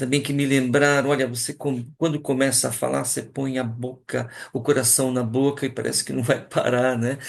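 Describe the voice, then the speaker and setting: A man's medium-pitched voice holds monotone, flat intonation while he talks at a moderate pace. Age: 60s. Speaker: teacher. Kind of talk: talk to colleagues. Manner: hesitant, many fillers.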